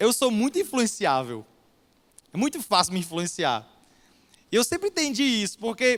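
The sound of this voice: A man's extremely high pitch with very wide swings, a moderate pace and long, frequent pauses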